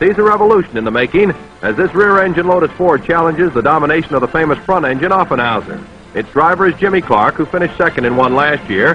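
Noticeable background noise accompanies a man talking at a very fast pace, fairly high in pitch, with lively intonation. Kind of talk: newsreel narration.

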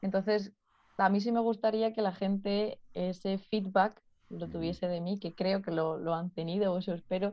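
Against a quiet background, a woman of medium pitch speaks at a moderate pace with monotone, flat intonation. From Spain, Ciudad Real; Spain. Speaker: physiotherapist. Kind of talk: interview conversation. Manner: laughs often. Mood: relaxed, smiling. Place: home room. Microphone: video call.

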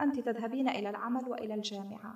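In an Algerian accent, a woman speaks against a quiet background, with audible room echo. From Algeria, Aurès mountains. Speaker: novelist and journalist. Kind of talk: lecture-style talk with audience. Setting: stage with audience. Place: hall.

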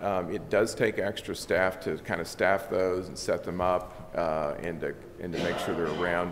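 A man's normal speaking voice with an American accent, fairly low in pitch, at a moderate pace over light background noise. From US Midwest. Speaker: election official. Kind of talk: formal presentation. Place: meeting room. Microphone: podium.

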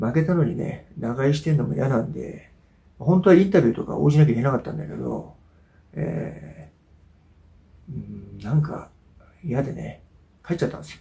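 A man's voice with a dark, mellow tone and vocal fry, at a moderate pace with long, frequent pauses, big swings in loudness and very wide pitch swings. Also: medium pitch for a man. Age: 40s. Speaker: YouTuber and amateur fighter; YouTuber. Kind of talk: casual monologue video update; casual vlog chat. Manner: hesitant, many filler sounds. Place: home room. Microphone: camera far.

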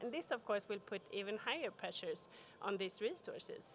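Light background noise sits behind a woman whose pitch is fairly high. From Sweden. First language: Swedish. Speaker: corporate sustainability expert; conference speaker. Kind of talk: conference talk. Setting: stage with audience. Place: hall. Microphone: podium.

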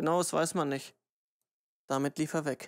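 Speech at a fairly quick pace on a very clean recording with a silent background. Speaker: audiobook narrator. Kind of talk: audiobook narration, reading a novel aloud. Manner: steady, measured reading, grave and subdued.

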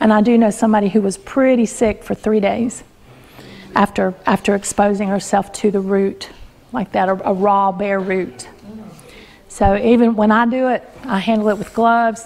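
A woman speaks at a moderate pace in a monotone, flat intonation. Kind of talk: lecture. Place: home room.

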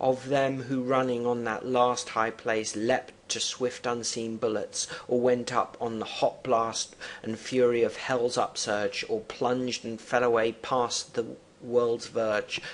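Amid noticeable background noise, a man speaks very slowly in a flat, monotone way. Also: medium pitch for a man. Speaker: teacher. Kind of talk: lecture; poem reading aloud. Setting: online video lesson. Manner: formal; halting.

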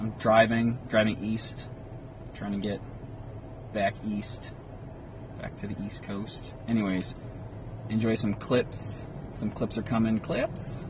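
A man speaks very slowly in a flat monotone at a fairly low pitch, with long, frequent pauses. The sound is dry with no echo, though background noise is noticeable. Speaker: vlogger. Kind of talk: casual vlog chat. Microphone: phone near.

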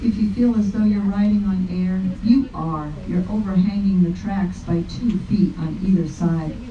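A woman speaks at a fairly slow pace. The room echo is audible, with light background noise. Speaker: train conductor narrator. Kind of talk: tour guide narration. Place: train.

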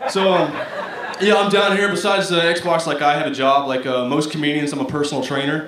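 Talking at a fairly quick pace, a man with a fairly high voice and an American accent has a fairly bright tone and fairly even intonation, with audible room echo.

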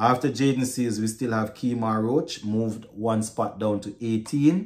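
A man speaks at a fairly slow pace. His pitch varies in an ordinary way against a quiet background. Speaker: sports vlogger. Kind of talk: casual commentary. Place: home room.

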